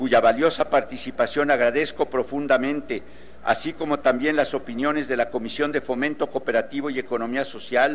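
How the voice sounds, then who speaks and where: Speaking at a fairly quick pace, this man has a fairly high pitch and a flat, monotone intonation. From Mexico. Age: 70s. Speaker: legislator. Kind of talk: parliamentary speech. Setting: legislative chamber. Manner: formal.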